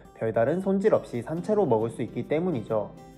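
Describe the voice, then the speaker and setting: Music plays behind a man talking at a fairly quick pace. His fairly high voice swings very widely in pitch. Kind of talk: educational explainer narration.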